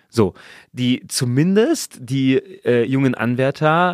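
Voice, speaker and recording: A man speaks with a normal speaking voice and ordinary pitch variation. The recording is very clean, with a silent background and a dry, close sound with no echo. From Saarland, Germany. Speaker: church worker and podcast co-host. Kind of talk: casual discussion.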